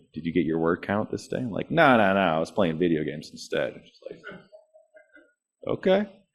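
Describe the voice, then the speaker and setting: A man with a Californian accent speaks at a very deep, low pitch. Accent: General American, California. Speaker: thriller author, guest speaker. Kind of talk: presentation Q&A. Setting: meeting room with live and Zoom audience. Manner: casual, conversational.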